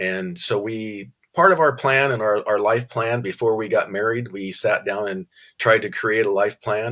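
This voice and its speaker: In a very clean recording with a silent background, a man with an American accent speaks at a medium pitch, his tone bright and sharp and his pitch varying in an ordinary way. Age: 70s. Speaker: retired contractor and author. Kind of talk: interview.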